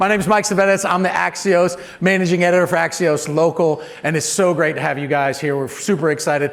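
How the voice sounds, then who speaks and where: A loud man at a fairly quick pace, high-pitched and energetic, animated in tone, with ordinary pitch variation and audible room echo. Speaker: event host, news managing editor. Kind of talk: live event emcee remarks. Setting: stage with live audience. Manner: fast and loud.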